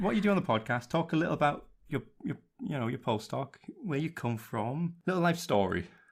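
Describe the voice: A man's fairly high voice with vocal fry, big pitch swings and a fairly quick pace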